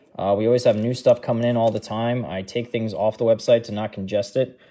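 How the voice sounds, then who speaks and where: This man has a dark, mellow tone and talks at a moderate pace. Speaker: sports card breaker; card break host. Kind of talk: live card break commentary. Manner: casual, animated. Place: shop.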